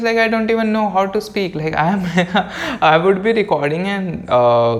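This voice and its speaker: The talking proceeds at a moderate pace. Background noise can be clearly heard. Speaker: podcast host. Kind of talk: casual solo podcast talk. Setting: home recording room near a road. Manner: stutters and fumbles at times.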